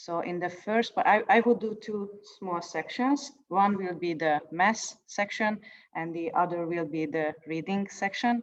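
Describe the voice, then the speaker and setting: A woman with a Hungarian accent at a fairly slow pace. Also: medium pitch for a woman, ordinary pitch variation. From Hungary. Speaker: poet. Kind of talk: introduction before reading. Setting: video call. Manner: halting.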